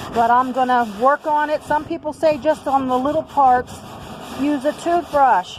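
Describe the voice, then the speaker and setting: A woman speaks at a high pitch and a fairly slow pace, with ordinary pitch variation. Noticeable background noise runs underneath. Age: 60s. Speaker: DIY video maker. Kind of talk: casual tutorial. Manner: casual, halting with fillers.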